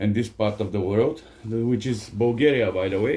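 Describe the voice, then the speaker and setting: In a non-native accent, a man with a dark, mellow tone talks at a moderate pace. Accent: foreign accent in English, self-noted. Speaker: workshop vlogger, tradesman. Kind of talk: casual vlog ramble. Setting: home workshop. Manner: halting, many fillers.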